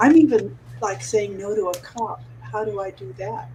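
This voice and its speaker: Fairly slow delivery amid noticeable background noise. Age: 80s+. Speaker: mastermind call participant. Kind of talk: casual group video call. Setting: group call. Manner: halting.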